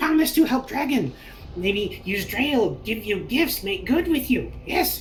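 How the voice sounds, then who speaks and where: This is a put-on character voice, fairly high in pitch, at a fairly slow pace. Background noise is clearly audible. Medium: actual play. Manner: broken pidgin English, halting, nervous.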